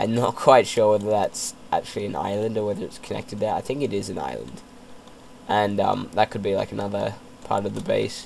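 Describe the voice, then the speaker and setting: A man speaks at a moderate pace with long, frequent pauses. Noticeable background noise sits behind him. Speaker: gamer. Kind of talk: casual gameplay commentary. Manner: hesitant, many fillers.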